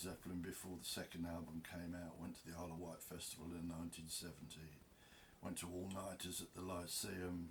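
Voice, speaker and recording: A man with an English accent speaks at a moderate pace in a very deep, low, somewhat breathy voice. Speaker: video blogger. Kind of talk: casual monologue. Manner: rambling, unscripted.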